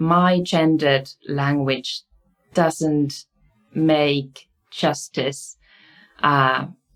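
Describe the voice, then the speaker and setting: A woman with a Finnish accent speaks at a very deep, low pitch. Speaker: university researcher and lecturer. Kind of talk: lecture. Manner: halting, with many fillers.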